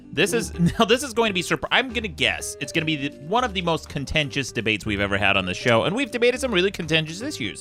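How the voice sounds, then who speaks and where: Music sits in the background as the speaker talks at a very fast pace with very wide pitch swings. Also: man. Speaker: podcast host. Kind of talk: podcast debate talk.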